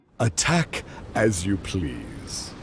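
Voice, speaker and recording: Using a put-on character voice, a man speaks in a very deep, low pitch. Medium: video game. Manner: haughty, mocking.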